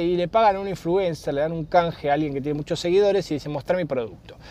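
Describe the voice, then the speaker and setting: A high-pitched man with a Rioplatense accent talks at a very fast pace with ordinary pitch variation. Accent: Argentine Rioplatense Spanish. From Argentina. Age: 40s. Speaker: podcast host. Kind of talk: casual solo monologue. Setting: in a car.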